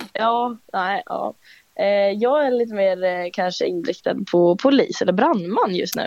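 A woman speaks at a fairly slow pace with a fairly high pitch and lively intonation. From Finspång, Östergötland, Sweden. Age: young. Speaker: student quiz contestant. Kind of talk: casual quiz chat. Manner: hesitant.

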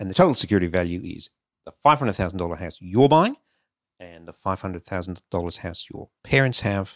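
A man with an Australian accent speaks at a very deep, low pitch with ordinary pitch variation, on a very clean, dry, close recording with no echo and a silent background. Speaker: financial adviser. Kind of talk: advice segment.

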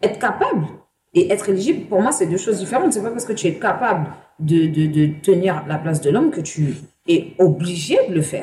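At a fairly quick pace, a woman speaks with a dark, mellow tone at medium pitch, somewhat breathy, with lively intonation. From Paris banlieue, Seine-Saint-Denis. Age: 30s. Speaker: interview guest sharing life story. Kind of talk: personal testimony. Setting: bar.

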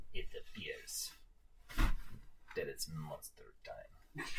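A man whispering in a put-on character voice at a very slow pace

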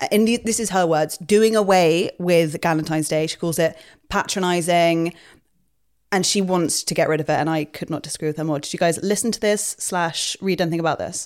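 On a very clean recording with a silent background, a woman talks at a fairly quick pace in a normal speaking voice. Her pitch is fairly low, with ordinary variation. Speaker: podcast host. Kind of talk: casual chat.

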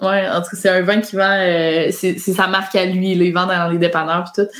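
A woman at medium pitch talks at a very fast pace. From Quebec. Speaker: YouTuber and author. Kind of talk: casual chat.

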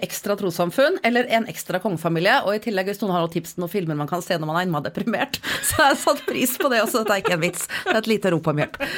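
Delivered at a very fast pace with hardly any pauses, the animated voice makes very wide pitch swings over noticeable background noise. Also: woman. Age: 40s. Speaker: podcast co-host. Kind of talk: casual chat. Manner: animated, laughing.

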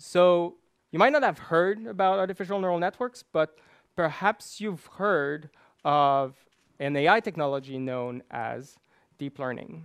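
On a very clean, dry, close recording with a silent background and no echo, a man with a Quebec accent talks at a fairly slow pace in a high pitch with lively intonation. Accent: Québécois French-accented English. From Quebec, Canada. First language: French. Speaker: machine learning researcher. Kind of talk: conference talk. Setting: stage with audience.

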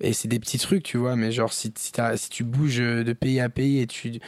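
On a very clean recording with a silent background, a man of medium pitch speaks at a moderate pace with monotone, flat intonation. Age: 20s. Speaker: rapper. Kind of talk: casual chat.

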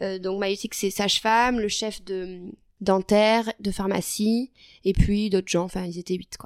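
Speaking at a medium pitch and a fairly slow pace, a woman keeps a monotone, flat intonation. The sound is dry and close with no echo, on a very clean recording with a silent background. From southwestern France (Lot, Figeac). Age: 20s. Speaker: nurse and medical student. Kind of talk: interview.

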